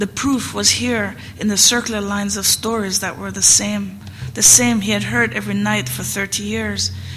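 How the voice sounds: The voice is a natural one for reading. It is used from start to finish.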